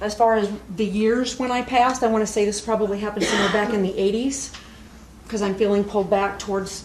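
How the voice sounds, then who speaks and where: Speaking at a very fast pace, a woman with a fairly high voice and monotone, flat intonation is heard with audible room echo and noticeable background noise. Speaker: spirit medium. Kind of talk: platform mediumship demonstration. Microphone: poor old video recording.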